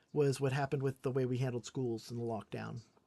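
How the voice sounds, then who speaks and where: Talking at a very fast pace, a woman has a dark, mellow tone. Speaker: political commentator streamer. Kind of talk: live stream commentary. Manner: casual, conversational.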